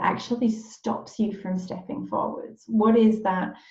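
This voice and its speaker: In a room with audible echo, a woman with a dark, mellow tone and medium pitch speaks somewhat breathily at a fairly slow pace with fairly even intonation. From northeast England. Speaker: life coach. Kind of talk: live video group session.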